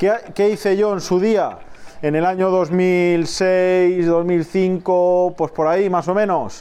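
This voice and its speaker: At a high pitch, a man speaks in a monotone, flat way. His pace is very slow and his loudness very even. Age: 30s. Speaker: aquarium shop owner and podcast host. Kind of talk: casual monologue. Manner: halting.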